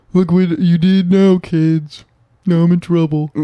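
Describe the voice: A man performs a put-on character voice at a high pitch. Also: moderate pace.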